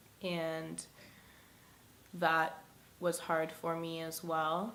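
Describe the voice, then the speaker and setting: The speech comes at a very slow pace in a monotone, flat intonation, with audible room echo. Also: woman. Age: 20s. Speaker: single mother sharing her story. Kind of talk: personal testimony. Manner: casual with many fillers.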